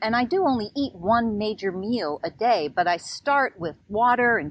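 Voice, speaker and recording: A woman's fairly high voice at a fairly slow pace, with very wide pitch swings. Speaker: nurse. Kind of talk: podcast conversation.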